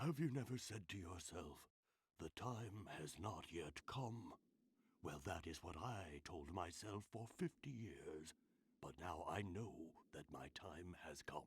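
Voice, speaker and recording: The pace is fairly slow. The voice is a put-on character. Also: man, very deep, low pitch for a man. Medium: video game. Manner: solemn, measured.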